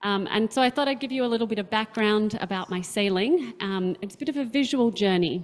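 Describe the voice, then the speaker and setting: Using ordinary pitch variation, a woman with an Australian accent speaks at a fairly high pitch and moderate pace. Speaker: sailing captain, panelist. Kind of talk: presentation with slides.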